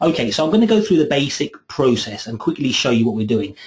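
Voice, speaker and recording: A somewhat breathy man's voice, fairly high in pitch, with very wide pitch swings and a very fast pace. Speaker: software trainer. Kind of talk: webinar tutorial. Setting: online webinar.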